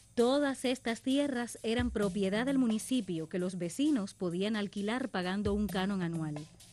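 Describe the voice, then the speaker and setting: Music plays in the background while a woman speaks at medium pitch and a moderate pace. Her intonation is lively, with hardly any pauses. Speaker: announcer, voice-over narrator. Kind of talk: documentary narration.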